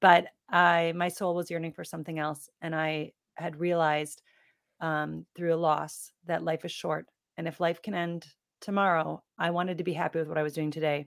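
In an American accent, a woman speaks at a moderate pace with a monotone, flat intonation. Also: fairly low pitch for a woman. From US Midwest. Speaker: transformation coach. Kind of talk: interview.

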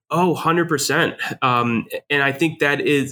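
A man with an American accent speaks at a fairly slow pace in a bright, sharp tone with ordinary pitch variation, on a very clean recording with a silent background. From New Jersey, Jersey Shore. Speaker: leadership educator and retired army officer. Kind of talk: interview.

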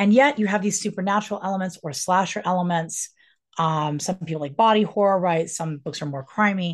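A woman with an American accent has an unremarkable speaking voice at a medium pitch, with ordinary pitch variation. She talks at a fairly quick pace against a quiet background. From Colorado, US. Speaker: author and professor. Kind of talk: casual interview chat.

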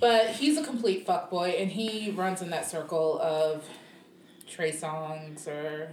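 Amid noticeable background noise and audible room echo, a woman speaks very slowly at a fairly low pitch with lively intonation. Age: 30s. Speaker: podcast co-host. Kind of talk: casual chat.

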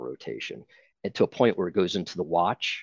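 A man in an American accent, his pitch very deep and low with vocal fry, talks at a fairly quick pace with ordinary pitch variation. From Ohio, Akron. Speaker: youth baseball coach. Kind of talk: interview podcast. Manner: hesitant, repeats words.

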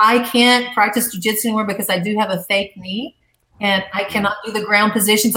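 Medium-pitched woman with a Southern US accent at a fairly quick pace. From US South, Arkansas. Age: 50s. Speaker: former TV gladiator and boxing coach. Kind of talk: casual chat.

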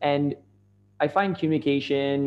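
A man speaks with a Canadian accent and ordinary pitch variation. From Canada. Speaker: social media marketer. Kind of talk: casual interview.

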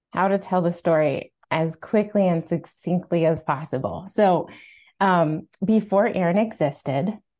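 A woman with a fairly low pitch and ordinary pitch variation talks over a quiet background. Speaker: author and entrepreneur, mother. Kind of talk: casual interview conversation.

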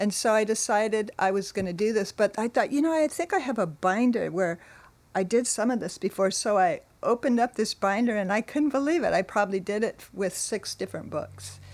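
In a very clean recording with a silent background, a woman with a Californian accent talks at a fairly high pitch. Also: ordinary pitch variation. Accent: Californian American. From California, Monterey. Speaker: church member sharing life story. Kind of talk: testimony.

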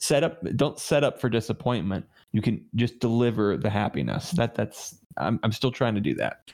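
Through vocal fry, a man speaks with lively intonation in a very clean recording with a silent background. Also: medium pitch for a man. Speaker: gaming community guest. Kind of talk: casual chat. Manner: fast.

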